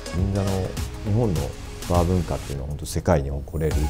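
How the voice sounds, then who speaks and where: A man talks at a fairly quick pace with clear music playing in the background. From Fukuoka, Japan. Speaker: bartender. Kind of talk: interview answer. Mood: calm, warm, smiling. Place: bar.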